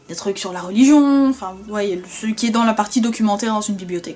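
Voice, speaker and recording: A woman talks at a fairly quick pace in a fairly high pitch. Noticeable background noise runs underneath. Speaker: vlogger. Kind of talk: casual vlog storytelling. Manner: animated, conversational.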